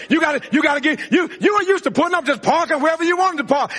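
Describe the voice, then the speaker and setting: A man's extremely high pitch at a very fast pace, animated in tone, with ordinary pitch variation and noticeable background noise. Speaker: preacher. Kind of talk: sermon. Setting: church with live congregation. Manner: animated, preaching in full flow, call-and-response; repetitive, emphatic, building intensity.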